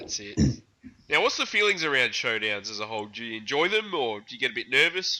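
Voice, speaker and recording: Talking at a very fast pace, a man with a medium pitch and a bright, sharp tone swings his pitch very widely. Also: big swings in loudness. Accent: Australian. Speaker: podcast host. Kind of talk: casual chat.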